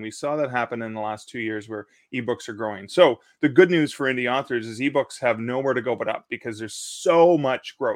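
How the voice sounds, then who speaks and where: A man with a Canadian accent and a normal speaking voice, medium pitch, ordinary pitch variation, big swings in loudness and a fairly quick pace, in a dry, close sound with no echo. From Canada. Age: 50s. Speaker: self-publishing company team member and author. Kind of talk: live-streamed panel chat about self-publishing.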